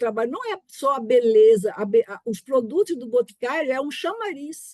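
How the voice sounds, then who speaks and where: In a dry, close recording with no echo, a woman with a high pitch and a dark, mellow tone speaks at a moderate pace with ordinary pitch variation. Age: 60s. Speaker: family business founder, board member. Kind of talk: personal story in webinar.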